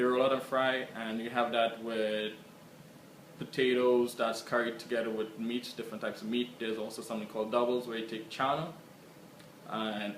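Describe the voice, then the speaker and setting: Man with a Trinidadian accent, medium pitch and a monotone, flat intonation, at a fairly quick pace amid audible room echo and noticeable background noise. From Trinidad and Tobago. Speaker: interviewee. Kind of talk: casual self-introduction.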